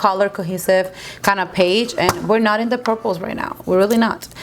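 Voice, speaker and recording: A woman speaks at a moderate speed, her pitch varying in an ordinary way, with noticeable noise behind her. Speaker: beauty youtuber. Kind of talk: makeup tutorial. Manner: mumbling; casual, chatty.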